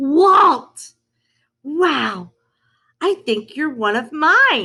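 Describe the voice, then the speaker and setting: A woman puts on a character voice, pitched high and delivered at a very slow pace. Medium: read story. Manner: warm, easygoing.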